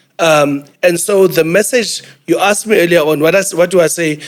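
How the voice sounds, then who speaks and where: With a South African accent, a man talks at a fairly quick pace in a high pitch, his pitch varying in an ordinary way. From South Africa, New Brighton, Port Elizabeth. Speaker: business executive. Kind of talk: panel discussion.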